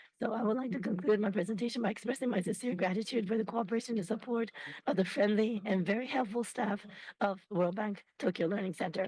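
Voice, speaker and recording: A woman puts on a raspy character voice at a medium pitch. She rattles through it at a very fast pace. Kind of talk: formal, presentation. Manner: speaking very fast.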